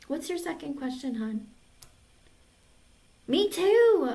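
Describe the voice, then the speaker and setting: Very wide pitch swings at a fairly slow pace, with noticeable background noise. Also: woman. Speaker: tarot reader. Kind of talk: live-stream tarot reading and casual chat. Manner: casual, chatty.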